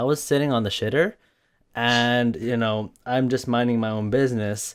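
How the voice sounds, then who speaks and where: This is a man with a medium-pitched voice at a moderate pace. The recording is very clean, with a silent background. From Norway, with years in Canada. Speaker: art streamer and gamer. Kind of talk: casual podcast chat. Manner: rambling, run-on; hesitant, many fillers.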